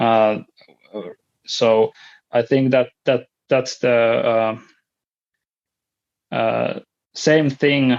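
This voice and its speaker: A man with a Finnish accent speaks at a medium pitch, very slowly, in a monotone, flat intonation. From Finland. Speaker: podcast guest sharing mental health story. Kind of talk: interview. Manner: halting, many fillers and repetitions.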